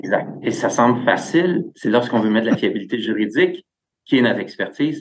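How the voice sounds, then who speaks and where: A man speaks at a moderate pace in an ordinary speaking voice with lively intonation. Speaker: tech company executive. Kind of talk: interview.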